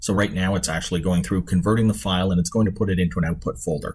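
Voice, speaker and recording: On a very clean recording with a silent background, a man talks with vocal fry in a very deep, low voice. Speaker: conference presenter. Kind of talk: software demo tutorial. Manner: fast.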